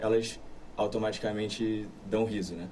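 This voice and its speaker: The voice is somewhat breathy, with audible room echo around it. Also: man. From Brazil, Rio de Janeiro. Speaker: actor. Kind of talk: interview. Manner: halting.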